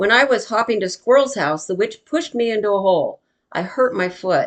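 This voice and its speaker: A woman puts on a raspy character voice at a fairly high pitch. She talks at a fairly quick pace with lively intonation. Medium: read story. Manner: nervous, fretful.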